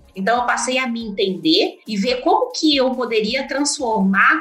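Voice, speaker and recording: The speaker moves at a fairly slow pace with very wide pitch swings over noticeable background noise. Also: woman. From Minas Gerais, Brazil (Uberlândia). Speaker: agronomist, market development manager. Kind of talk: interview conversation.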